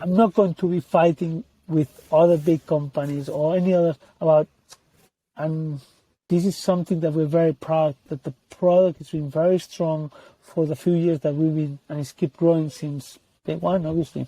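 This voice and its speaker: A man with a non-native accent speaks at a moderate pace in a fairly high-pitched, dark, mellow voice. His intonation is fairly even, and the sound is dry and close with no echo. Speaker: tech company CEO and co-founder. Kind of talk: interview.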